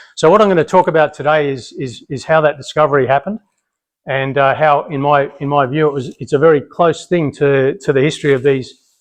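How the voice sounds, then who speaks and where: A man speaks with an Australian accent at a moderate pace. His voice is fairly high, with fairly even intonation. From Australia, Brisbane. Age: 50s. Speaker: military family history speaker. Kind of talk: public talk. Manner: loud; many fillers and repetitions.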